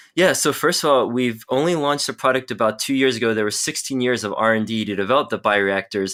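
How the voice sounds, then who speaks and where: A man at a fairly quick pace with ordinary pitch variation, on a very clean recording with a silent background. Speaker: pharmacology researcher and company medical officer. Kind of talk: interview. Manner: fast; animated.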